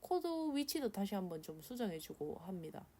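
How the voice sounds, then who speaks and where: Speaking with a Gyeongsang accent, a woman has a dark, mellow tone at medium pitch. She moves at a fairly quick pace with very wide pitch swings. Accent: Korean regional dialect (Gyeongsang-style). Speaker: illustrator. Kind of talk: drawing tutorial voice-over. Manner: casual, nervous.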